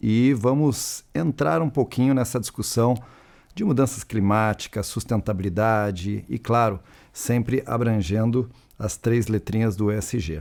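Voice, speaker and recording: In a very clean recording with a silent background, a man with a southern Brazilian accent talks fairly slowly at a medium pitch with ordinary pitch variation. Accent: gaúcho accent, noticeable. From Rio Grande do Sul, southern Brazil. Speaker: panel moderator, industry association representative. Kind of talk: panel discussion moderation.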